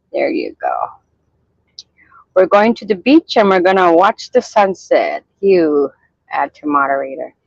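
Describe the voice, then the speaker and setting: The speech swings very widely in pitch and greatly in loudness, with long, frequent pauses. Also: woman, medium pitch for a woman, fairly slow pace, dry, close sound with no echo. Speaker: livestreamer. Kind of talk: casual chat.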